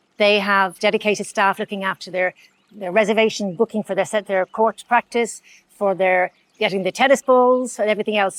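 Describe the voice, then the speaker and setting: A woman at medium pitch in a Dublin accent, very fast, with fairly even intonation and a dry, close sound with no echo. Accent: Dublin Irish. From Ireland, Dublin. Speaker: tennis venue manager. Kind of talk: interview. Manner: halting.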